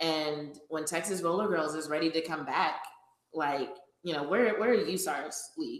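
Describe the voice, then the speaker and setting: A woman's fairly low voice with ordinary pitch variation and audible room echo. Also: moderate pace. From Louisiana. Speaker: sports podcast host and roller derby skater. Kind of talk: casual chat.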